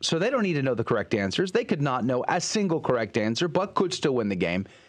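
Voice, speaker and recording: Against a quiet background, a man with vocal fry speaks in an animated, upbeat tone with very wide pitch swings. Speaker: radio host. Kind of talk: radio show hosting, casual chat and interview. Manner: animated, upbeat radio patter. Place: studio. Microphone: studio mic.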